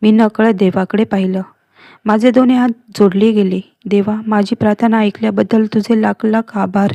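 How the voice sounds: The background is quiet behind a natural reading voice with fairly even intonation.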